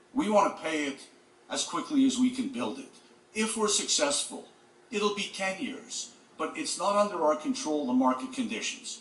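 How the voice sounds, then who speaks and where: Against noticeable background noise and audible room echo, a man speaks at a moderate pace with a high pitch and very wide pitch swings. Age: 60s. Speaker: real estate developer. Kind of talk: public hearing testimony. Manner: halting.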